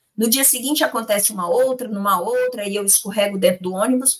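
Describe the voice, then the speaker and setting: A woman's normal speaking voice, fairly high in pitch, at a fairly quick pace with ordinary pitch variation and hardly any pauses. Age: 50s. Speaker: spiritist lecturer. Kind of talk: religious study discussion.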